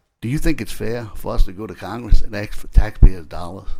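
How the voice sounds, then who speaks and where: The speaker has a South Louisiana accent. Delivery is at a fairly quick pace with fairly even intonation. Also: man. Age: 60s. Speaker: state legislator. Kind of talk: committee hearing questioning. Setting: legislative committee room. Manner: halting.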